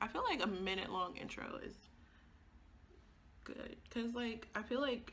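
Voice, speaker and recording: A woman's fairly high, bright, sharp voice with vocal fry and fairly even intonation at a moderate pace. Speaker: beauty vlogger and grad student. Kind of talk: casual chat.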